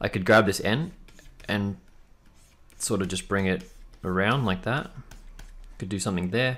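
Fairly low in pitch, this man talks with an Australian accent. He moves at a fairly quick pace with ordinary pitch variation. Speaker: tattoo and lettering artist. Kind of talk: tutorial. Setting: live stream. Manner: casual, friendly. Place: home room.

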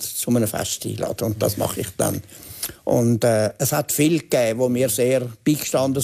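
A man's dark, mellow voice at a moderate pace against a quiet background. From Switzerland. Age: 80s+. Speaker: journalist and author. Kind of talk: TV interview answer. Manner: hesitant, reflective. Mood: reflective, calm, hesitant. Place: studio. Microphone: lapel.

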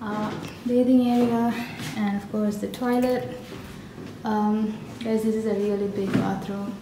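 A woman at a fairly slow pace with fairly even intonation and long, frequent pauses, over noticeable background noise. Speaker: travel vlogger. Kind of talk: casual vlog chat. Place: home room. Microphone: phone near.

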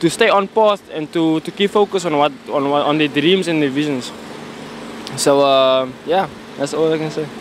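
Against light background noise, a man speaks at a fairly quick pace with a dry sound that has no echo. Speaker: member of the public; interviewee. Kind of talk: street interview. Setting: outdoors. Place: street. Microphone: handheld.

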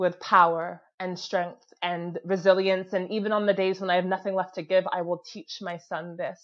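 Over a quiet background, a woman speaks at a moderate pace in a monotone, flat intonation, with big swings in loudness and hardly any pauses. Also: medium pitch for a woman. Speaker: spoken word poet. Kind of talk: spoken word performance. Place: home room. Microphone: earbuds.

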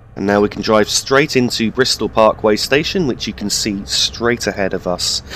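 Noticeable background noise behind a man with lively intonation. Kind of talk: game walkthrough commentary. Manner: calm, explanatory.

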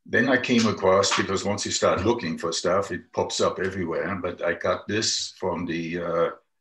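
A quiet background with audible room echo. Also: man. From Germany. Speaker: environmental campaigner. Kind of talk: casual chat. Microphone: video call.

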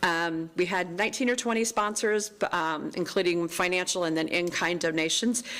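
A woman speaks with ordinary pitch variation and hardly any pauses. Her loudness stays very even. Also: fairly low pitch for a woman. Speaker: town events staff member. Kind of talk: staff report at council meeting. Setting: town council meeting. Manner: fast; halting, many ums.

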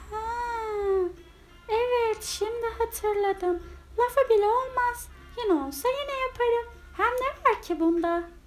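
In a put-on character voice, a woman speaks at an extremely high pitch and fairly slow pace with lively intonation while music plays clearly behind her. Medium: read story. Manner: gentle, earnest.

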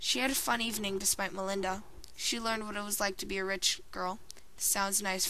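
Someone reads the text aloud in a natural voice. The pitch stays fairly level throughout.

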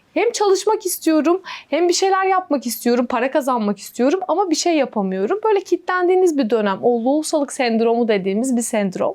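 High-pitched woman's voice at a fairly quick pace with hardly any pauses, very wide pitch swings, and very even loudness. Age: 30s. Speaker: interviewee, daughter-in-law and mother. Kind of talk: interview.

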